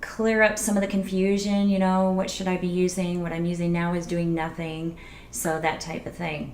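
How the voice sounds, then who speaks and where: Soft-spoken and medium in pitch, a woman talks with audible room echo around her. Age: 40s. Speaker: beauty vlogger. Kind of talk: casual tutorial vlog.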